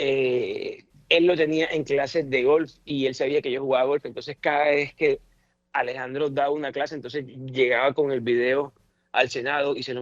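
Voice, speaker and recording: A man talks at medium pitch and moderate pace. He speaks with a strong Caribbean Colombian accent. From Colombian Caribbean coast. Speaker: politician, senator. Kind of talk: radio interview, personal remembrance.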